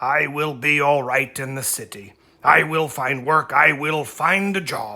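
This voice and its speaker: A man uses a raspy, put-on character voice at a fairly high pitch and a fairly slow pace. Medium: read story.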